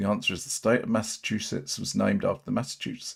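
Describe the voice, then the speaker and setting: A man with an English accent speaks at a medium pitch with lively intonation on a very clean recording with a silent background. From England. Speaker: livestream commentator on auditor videos. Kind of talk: live stream chat reading viewer comments. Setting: solo livestream. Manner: halting.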